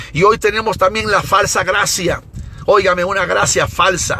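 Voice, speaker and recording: A man speaks in an animated tone against noticeable background noise. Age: 60s. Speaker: evangelist preacher. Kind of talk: sermon.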